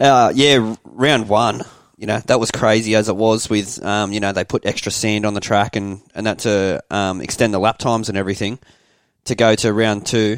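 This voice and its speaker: An Australian accent from a man, fairly even in intonation, at a moderate pace, with a dry, close sound and no echo. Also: fairly low pitch for a man. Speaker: podcast co-host, motorbike rider. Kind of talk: casual chat.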